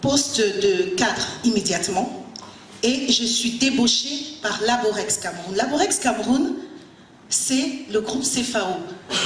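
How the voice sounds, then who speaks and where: Over noticeable background noise and audible room echo, a woman speaks very slowly in a fairly high voice with lively intonation. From Cameroon, Yaoundé. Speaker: business executive and motivational speaker. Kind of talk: motivational talk. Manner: animated.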